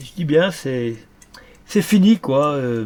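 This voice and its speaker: Intonation rises and falls in a lively way. The man talks very slowly. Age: 70s. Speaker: antique dealer. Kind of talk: documentary interview. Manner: halting, many repetitions and hesitations.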